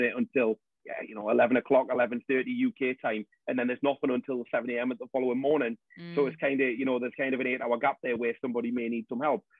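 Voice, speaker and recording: Talking at a very fast pace with a North East England accent, a man of medium pitch keeps a fairly even intonation. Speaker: support group founder. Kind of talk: podcast interview answer.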